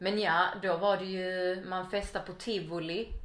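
Audible room echo surrounds a woman speaking at a fairly low pitch in a monotone, flat intonation. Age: 30s. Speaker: podcast guest. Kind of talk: casual interview chat. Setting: at home.

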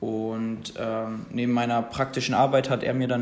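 At a moderate pace and medium pitch, a man speaks with monotone, flat intonation in audible room echo. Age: 20s. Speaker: podcast host. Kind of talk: casual solo podcast talk. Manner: casual, with many fillers.

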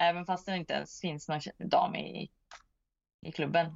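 At a fairly slow pace, a woman speaks in a fairly low pitch with fairly even intonation. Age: 40s. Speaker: disc golf player. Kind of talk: interview. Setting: remote call.

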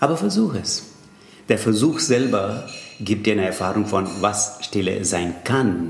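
A man with a Tamil accent at a fairly slow pace, amid audible room echo. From India, Tamil Nadu. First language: Tamil (speaking German). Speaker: yoga teacher and Sanskrit scholar. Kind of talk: interview. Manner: halting.

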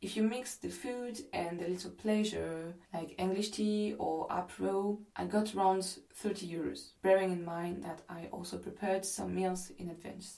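A woman in a French accent at a moderate pace, with audible room echo. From France. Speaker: podcast host. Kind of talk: travel storytelling narration.

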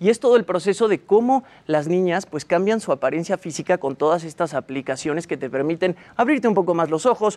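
The delivery is fairly quick with lively intonation. The sound is dry and close, with no echo. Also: man. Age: young. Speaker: entertainment commentator. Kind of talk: segment presentation.

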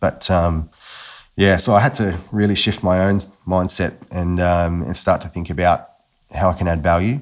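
A man with a very deep, low voice speaks in an Australian accent against a quiet background. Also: ordinary pitch variation, moderate pace. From Australia, Newcastle NSW. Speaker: agency founder. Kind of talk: casual chat. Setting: remote recording.

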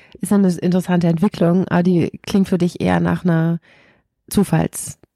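A woman's fairly low, dark, mellow voice at a fairly quick pace, in a dry, close sound with no echo. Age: 30s. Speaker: podcast host. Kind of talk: interview conversation.

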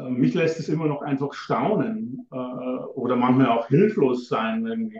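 This man talks at a very slow pace, his pitch sitting in the middle range. His intonation is lively. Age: old. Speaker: tantra teacher and author. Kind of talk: interview. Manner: halting.

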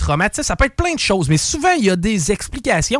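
A man with a high-pitched voice talks at a fairly quick pace, his pitch swinging very widely, in a dry, close recording with no echo. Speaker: radio columnist. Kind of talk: true crime storytelling; casual radio chat.

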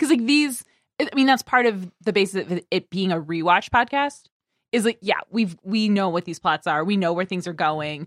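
A woman with an ordinary speaking voice talks at a moderate pace with a medium pitch and lively intonation, in a dry, close recording with no echo. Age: 30s. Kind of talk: casual chat.

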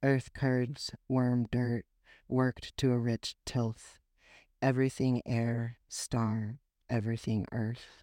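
Very slowly and in a monotone, flat intonation, a man speaks at medium pitch with a dark, mellow tone. The recording is dry and close with no echo. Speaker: poetry podcast host. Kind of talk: poetry reading aloud, performed verse. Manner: measured, lyrical, slow; casual and chatty in intro, with laughs.

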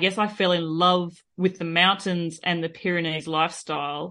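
Against a quiet background, a woman with an Australian accent speaks at a fairly low pitch and a moderate pace. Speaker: cyclist and podcaster. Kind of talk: casual interview chat.

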